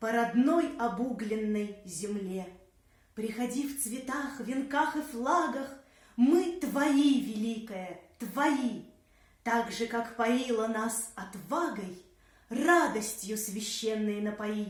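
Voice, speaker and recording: A woman's fairly high voice at a very slow pace. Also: ordinary pitch variation. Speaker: actress, puppet theatre performer. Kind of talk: poetry reading.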